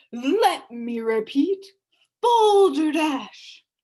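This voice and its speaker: A woman shouts in a put-on character voice. Her high pitch jumps through very wide swings. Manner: shouting, pompous.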